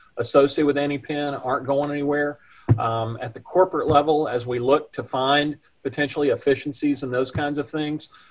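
The delivery comes at a fairly quick pace in a monotone, flat intonation. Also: man. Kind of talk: interview answer. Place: office. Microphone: video call.

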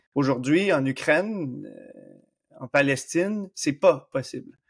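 A man speaks in an animated tone with a slight Canadian French accent, on a very clean recording with a silent background. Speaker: exercise physiologist. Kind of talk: podcast interview. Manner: animated, lively.

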